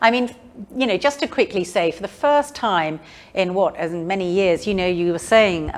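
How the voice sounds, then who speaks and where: A woman in a southern English accent, medium in pitch, moderate in pace, with lively intonation. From London, England. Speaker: author. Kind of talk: public talk and interview. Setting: museum event with live audience.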